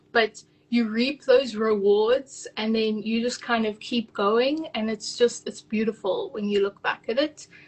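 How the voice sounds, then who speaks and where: A somewhat breathy woman talks at a fairly slow pace and a fairly high pitch, her intonation fairly even. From South Africa. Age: 20s. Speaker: virtual assistant business owner. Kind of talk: casual interview. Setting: live video call.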